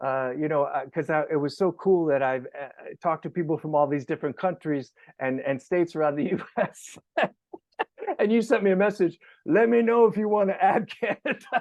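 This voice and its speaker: Animated in tone, a man with a New York accent talks at a fairly quick pace, his high-pitched voice full of lively intonation. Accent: New York American. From New York, US. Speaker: podcast host. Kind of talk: casual interview.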